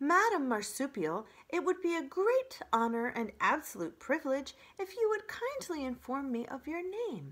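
A woman puts on a character voice, high in pitch and strained. Her pitch swings very widely while her pace stays moderate. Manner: overly friendly, strained.

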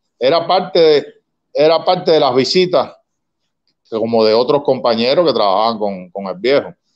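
Over a quiet background, a man with a fairly high pitch speaks at a moderate pace, his pitch swinging very widely between long, frequent pauses. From Cuba, Havana; Cuba. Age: 60s. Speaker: son of a revolutionary commander; interview guest. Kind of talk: interview. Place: home room. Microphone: video call.

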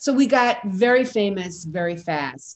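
In a New York accent, a woman speaks with lively intonation. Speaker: actress and theater founder. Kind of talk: interview. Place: home room. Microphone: video call.

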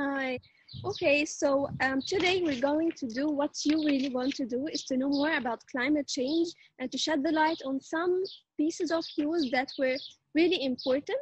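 A woman at a high pitch and moderate pace, with ordinary pitch variation, a dry sound with no echo and a quiet background. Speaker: show anchor. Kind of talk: casual interview hosting. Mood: cheerful, friendly. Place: garden. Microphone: video call.

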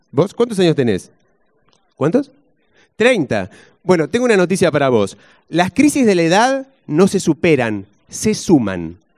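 A man with a Rioplatense accent and a high pitch, very wide pitch swings, a fairly slow pace and long, frequent pauses, against a quiet background. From Argentina. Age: 40s. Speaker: stand-up comedian. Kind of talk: stand-up comedy set with audience banter. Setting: stage with audience. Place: stage. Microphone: handheld.

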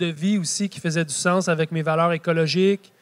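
A man's high voice in a Quebec accent, monotone and flat in intonation, at a fairly slow pace. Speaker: market gardener and author. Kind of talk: public talk.

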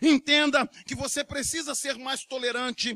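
A man talks in a raised, projected voice with a bright, sharp tone at a fairly slow pace, the sound dry and close with no echo. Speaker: preacher. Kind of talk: sermon. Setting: church. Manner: earnest, urgent preaching, with direct appeals to the congregation.

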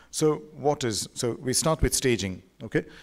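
At a moderate pace, the pitch varies in an ordinary way. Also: man. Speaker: visiting radiology lecturer. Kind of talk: lecture. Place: hall. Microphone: podium.

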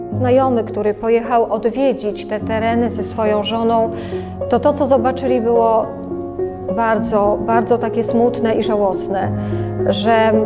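A woman talks at a fairly slow pace while clear music plays behind her. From Lublin, Poland. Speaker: oral history interviewee. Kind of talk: oral history interview answer. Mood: reflective, wistful. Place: home room.

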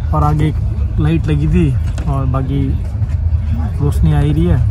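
Against noticeable background noise, a man with a very deep, low pitch talks at a fairly slow pace in a dry sound with no echo. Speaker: travel vlogger. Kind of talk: casual vlog chat. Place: train. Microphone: phone near.

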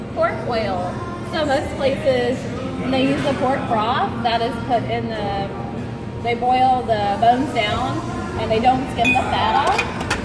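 At a very slow pace, a woman talks with ordinary pitch variation. Clear music plays in the background. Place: cafe. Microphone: phone near.

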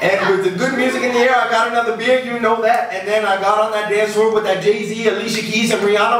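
Delivered at a very fast pace with hardly any pauses, the voice stays monotone and flat, with light background noise and audible room echo. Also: man. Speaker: poet performing his own poem. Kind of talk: spoken-word poetry performance, rhythmic rhymed storytelling with audience laughter. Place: stage.

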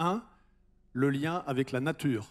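The background is quiet. A man talks with a fairly high pitch and ordinary pitch variation. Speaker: entrepreneur. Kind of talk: panel discussion. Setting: stage with audience. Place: hall. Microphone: handheld.

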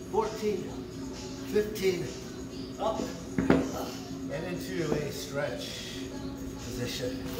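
Clear music sounds in the background while a man speaks amid audible room echo. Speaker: workout instructor. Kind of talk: casual chat during workout class. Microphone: camera far.

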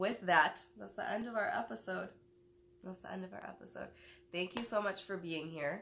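A woman with an American accent speaks at a moderate pace in a bright, sharp tone with vocal fry and ordinary pitch variation. Her loudness swings widely over light background noise. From Detroit, US Midwest. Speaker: talk show host. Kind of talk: casual chat. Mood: relaxed, warm. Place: home room. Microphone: phone near.

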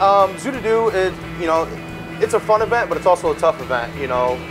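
A man talking at a very fast pace over clear background music. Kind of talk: interview answer. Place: kitchen.

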